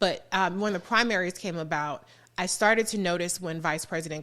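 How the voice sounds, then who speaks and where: With an American accent and a bright, sharp tone, a woman speaks at a fairly quick pace with ordinary pitch variation on a very clean recording with a silent background. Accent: slight Southern-sounding to some listeners. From Southern California, Los Angeles. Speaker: political commentator and radio host. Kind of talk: podcast interview. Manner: animated, conversational.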